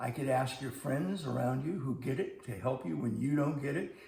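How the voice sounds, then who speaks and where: Fairly quick speech with ordinary pitch variation, noticeable background noise, and audible room echo. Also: man. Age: 70s. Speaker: math teacher. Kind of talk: scripted video lesson. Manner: conversational.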